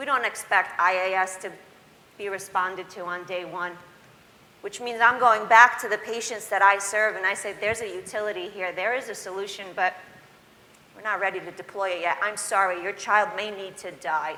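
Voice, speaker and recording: Over noticeable background noise, a woman speaks at medium pitch and a moderate pace, her loudness swinging widely. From immigrant, grew up in the US. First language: not English. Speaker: patient advocate. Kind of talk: panel discussion. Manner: animated.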